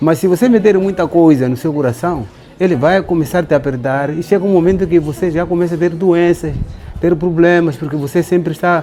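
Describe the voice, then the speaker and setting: With music in the background, a man talks at a fairly quick pace in a fairly high voice with ordinary pitch variation. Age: 60s. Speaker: elder giving life advice. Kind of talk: monologue giving advice.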